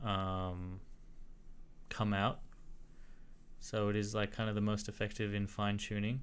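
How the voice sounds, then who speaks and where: A man speaks at a fairly slow pace with a fairly low pitch and fairly even intonation. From Australia. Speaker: tech streamer. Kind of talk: live-stream research talk. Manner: casual, filler-heavy.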